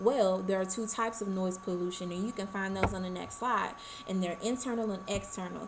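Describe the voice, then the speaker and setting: A woman's medium-pitched voice at a fairly quick pace, with fairly even intonation, music in the background and audible room echo. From Arkansas, US South. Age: 20s. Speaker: college student. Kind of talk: class presentation. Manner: fast.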